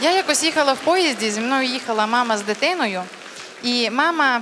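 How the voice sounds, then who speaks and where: Moderate pace over light background noise. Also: woman. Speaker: stand-up comedian. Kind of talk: stand-up comedy monologue. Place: stage. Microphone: handheld.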